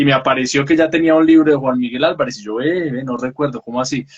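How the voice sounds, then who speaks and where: A man's fairly high voice at a very fast pace. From Colombia, Pereira. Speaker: book talk show host. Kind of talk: casual interview.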